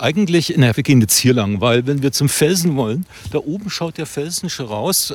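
In a normal speaking voice, a man talks at a moderate pace with lively intonation and fairly high pitch. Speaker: podcast host and playwright. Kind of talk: casual chat while hiking. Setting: outdoors on a walk.

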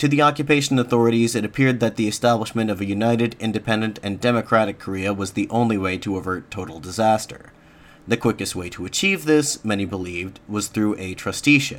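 Talking at a very fast pace, a man uses a fairly low pitch with ordinary variation. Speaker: podcast host. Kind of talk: history documentary narration. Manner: measured, formal, even-paced.

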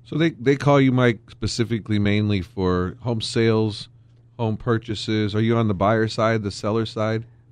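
Against a quiet background, a man with a plain, everyday voice speaks at a medium pitch and moderate pace with fairly even intonation. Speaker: heating and air conditioning business owner. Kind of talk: casual chat. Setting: studio.

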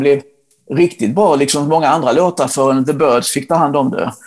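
The man talks fairly quickly in a fairly high register, and his pitch varies in an ordinary way. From Sweden, Blekinge (Ronneby). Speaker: rock journalist. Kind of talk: casual interview chat. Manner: halting, with repetitions and fillers.

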